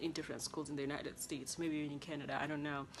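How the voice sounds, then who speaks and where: Over music in the background, a woman with a Kenyan accent speaks in a very deep, low voice. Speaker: international student vlogger. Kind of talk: casual vlog monologue. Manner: animated.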